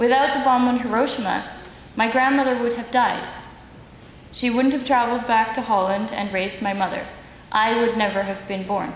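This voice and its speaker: Speaking at a moderate pace with long, frequent pauses, a woman with a fairly high pitch keeps her intonation fairly even over noticeable background noise. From Netherlands. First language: Dutch. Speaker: human rights advocate. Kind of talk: symposium speech.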